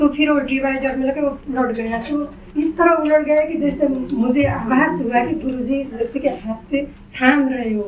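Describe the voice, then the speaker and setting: Over noticeable background noise, a woman talks at a high pitch with fairly even intonation. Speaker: mother. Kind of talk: personal testimony.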